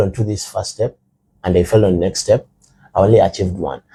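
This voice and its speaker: A man's voice comes across with a dark, mellow tone and somewhat breathy. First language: Rukiga / Runyankore. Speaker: guest. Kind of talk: casual chat.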